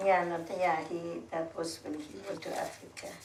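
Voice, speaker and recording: Noticeable background noise sits behind this woman. She talks fairly slowly at a fairly low pitch. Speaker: war refugee survivor. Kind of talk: casual chat.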